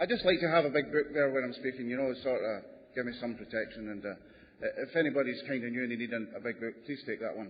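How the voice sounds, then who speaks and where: A man at medium pitch with ordinary pitch variation races along at a very fast pace amid noticeable background noise. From Canada. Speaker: recovering alcoholic speaker. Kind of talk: testimony.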